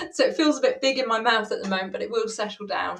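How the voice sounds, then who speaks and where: This woman has an English accent. Her voice sits high in pitch. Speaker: money coach. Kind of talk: live stream chat.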